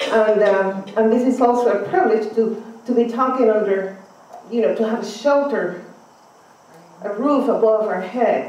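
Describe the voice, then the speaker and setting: A woman's fairly high voice at a moderate pace, with long, frequent pauses, ordinary pitch variation, audible room echo and noticeable background noise. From Cuba. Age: 50s. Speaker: conference speaker. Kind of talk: speech.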